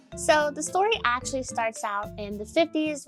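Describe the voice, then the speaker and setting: The delivery is fairly quick. Background music can be heard. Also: woman. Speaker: clown history video host. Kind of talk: casual talk to camera.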